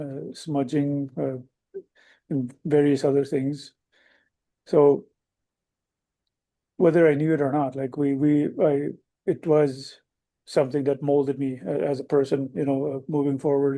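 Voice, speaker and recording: The voice has a dark, mellow tone and fairly even intonation. It moves at a fairly slow pace with long, frequent pauses. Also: man, fairly high pitch for a man. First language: Cree. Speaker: wildland firefighter. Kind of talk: panel talk. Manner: halting, many fillers.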